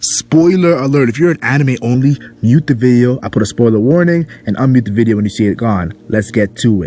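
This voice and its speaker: Over noticeable background noise, a man talks in an animated tone at a medium pitch and a fairly quick pace, with lively intonation. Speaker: anime commentary youtuber. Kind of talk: casual video commentary.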